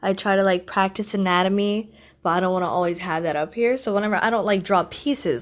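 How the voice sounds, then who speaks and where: Pitch moves up and down in an ordinary way. The audio is very clean and the background silent. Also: woman. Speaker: amateur digital artist. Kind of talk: casual rambling commentary over a speedpaint. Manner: chatty, rambling.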